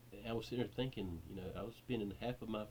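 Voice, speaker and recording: The man's tone is dark and mellow. Vocal fry runs through his speech. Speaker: YouTuber sharing recovery from addiction. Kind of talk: personal testimony vlog. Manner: halting, repeating words.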